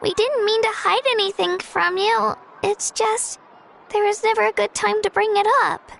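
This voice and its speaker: An extremely high put-on character voice at a moderate pace. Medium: video game.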